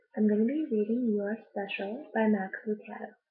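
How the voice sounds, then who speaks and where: A soft-spoken woman, fairly high in pitch, with fairly even intonation. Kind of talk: casual talk to camera.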